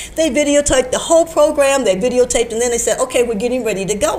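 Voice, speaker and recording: A woman with an American accent talks at a very fast pace, her high voice full of lively intonation. Noticeable background noise runs underneath. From Chicago, Illinois. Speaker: science teacher and political candidate. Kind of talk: interview answer.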